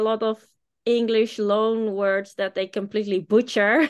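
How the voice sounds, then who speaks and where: Against a quiet background, the speaker talks with a Dutch accent. The pace is fairly slow. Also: woman. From Netherlands. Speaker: business owner. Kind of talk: interview.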